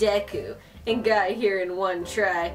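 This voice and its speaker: Faint music can be heard in the background. Over it, a woman is talking. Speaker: gaming youtuber. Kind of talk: let's play commentary, reading game lines aloud. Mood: frustrated, joking. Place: home room.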